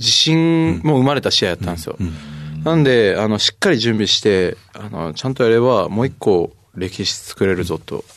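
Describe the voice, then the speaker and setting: A man speaks with very wide swings in pitch against a quiet background. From Japan, Kagoshima. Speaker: rugby player. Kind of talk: interview. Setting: studio.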